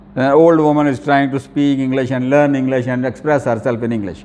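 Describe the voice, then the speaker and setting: With a Pakistani accent, a man talks at a moderate pace and fairly even intonation. Room echo can be heard. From Pakistan, Lahore. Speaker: professor. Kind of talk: lecture. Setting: classroom with students. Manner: halting, with many fillers.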